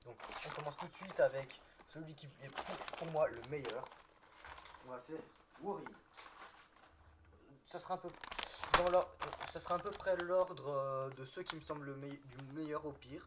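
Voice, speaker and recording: A man's fairly high voice at a fairly slow pace, with long, frequent pauses, big swings in loudness and noticeable background noise. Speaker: toy reviewer youtuber. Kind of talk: live build commentary. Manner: halting, many false starts.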